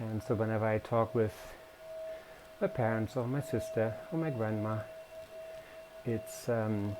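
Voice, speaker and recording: With a non-native accent and a medium pitch, a man speaks at a fairly slow pace with fairly even intonation and long, frequent pauses, with music in the background. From Germany. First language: German. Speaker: cycling vlogger. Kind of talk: casual vlog commentary while riding. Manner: hesitant, many fillers.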